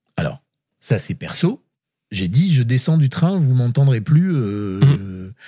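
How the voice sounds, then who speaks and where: At a very slow pace, a man speaks with a medium pitch that swings very widely. His voice is somewhat breathy with a dark, mellow tone. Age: 60s. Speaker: writer. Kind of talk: casual chat.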